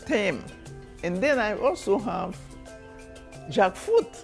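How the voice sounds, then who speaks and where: A woman speaks very slowly with a Haitian accent. Music plays in the background. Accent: Haitian Creole. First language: Haitian Creole. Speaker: storyteller. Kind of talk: interview answer.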